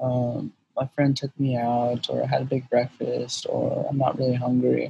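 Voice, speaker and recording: A man speaks at a fairly slow pace. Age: 20s. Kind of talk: casual chat.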